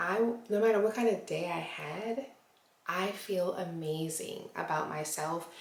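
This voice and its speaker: Whispering at a very slow pace, a woman is heard over noticeable background noise with audible room echo. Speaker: lifestyle vlogger. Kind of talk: casual vlog talk to camera.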